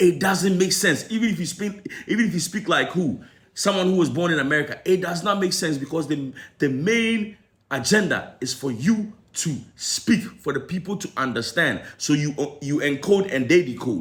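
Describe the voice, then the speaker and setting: Here a man uses an animated tone with lively intonation. His pitch is high and his pace moderate. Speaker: entertainment commentator. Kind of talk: opinion commentary.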